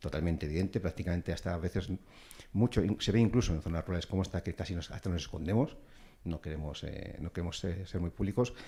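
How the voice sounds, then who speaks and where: A man speaks very fast at a very deep, low pitch. His tone is dark and mellow, and somewhat breathy. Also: ordinary pitch variation. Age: 50s. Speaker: businessman panelist. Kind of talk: panel debate. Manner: halting.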